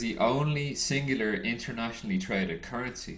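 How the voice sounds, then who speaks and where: A man with an American accent speaks at a moderate pace in a medium pitch, with audible room echo. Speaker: trading educator. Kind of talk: lecture. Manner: halting.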